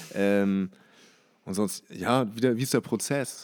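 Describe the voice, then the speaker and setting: In a very clean recording with a silent background, a man speaks in a dark, mellow tone with ordinary pitch variation. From Hamburg, Germany. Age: 20s. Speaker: fashion label owner. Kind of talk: casual interview. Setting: label warehouse premises.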